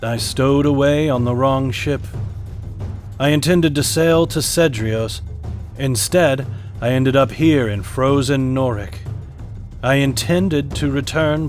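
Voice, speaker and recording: Putting on a gravelly character voice at medium pitch, a man speaks at a moderate pace while clear music plays in the background. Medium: read story. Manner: slow, solemn, formal.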